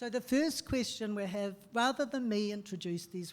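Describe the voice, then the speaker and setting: With a New Zealand accent, a woman speaks at medium pitch and a moderate pace, with ordinary pitch variation. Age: 60s. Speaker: activist and panel chair. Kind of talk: panel discussion.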